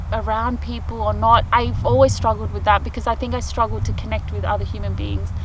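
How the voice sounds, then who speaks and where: Noticeable background noise runs through the clip. The speaker talks at a fairly quick pace. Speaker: off-grid vlogger. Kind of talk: casual vlog monologue. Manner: halting, self-correcting.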